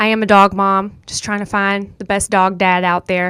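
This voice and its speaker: A woman speaks in an animated tone with a Southern US accent at a moderate pace. The recording is very clean with a silent background. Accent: Southern US country accent, noticeable. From US South, rural North Carolina. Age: 20s. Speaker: podcast host. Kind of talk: casual monologue. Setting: studio.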